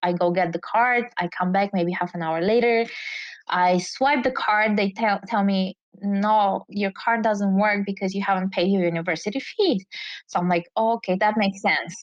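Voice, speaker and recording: A woman with a Bulgarian accent speaks at a medium pitch with fairly even intonation. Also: moderate pace. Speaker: entrepreneur. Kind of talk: interview storytelling.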